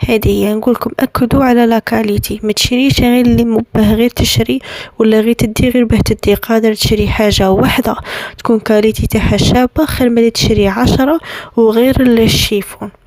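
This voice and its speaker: In an Algerian accent, a woman speaks at a fairly high pitch with fairly even intonation and very even loudness, the sound dry and close with no echo despite noticeable background noise. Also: moderate pace. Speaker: lifestyle vlogger, bride-to-be. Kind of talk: tutorial. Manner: casual, hesitant with restarts.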